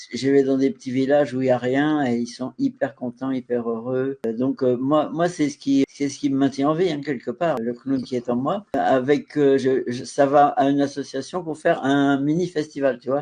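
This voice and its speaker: Fairly high-pitched yet dark and mellow in tone, a man talks with fairly even intonation and hardly any pauses. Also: moderate pace. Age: 70s. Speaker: clown and theatre performer. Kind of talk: casual interview.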